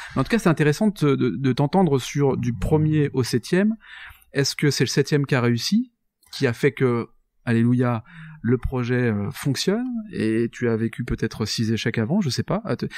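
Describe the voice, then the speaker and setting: A man talks at a moderate pace in a medium pitch. The sound is dry and close with no echo, and the recording is very clean with a silent background. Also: lively intonation. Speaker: podcast host. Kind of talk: interview conversation. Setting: guest's office.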